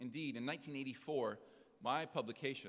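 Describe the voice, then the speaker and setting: Speaking at a very fast pace in an American accent, a man uses a medium pitch with ordinary pitch variation. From United States. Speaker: journalist. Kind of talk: conference keynote speech. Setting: stage with audience.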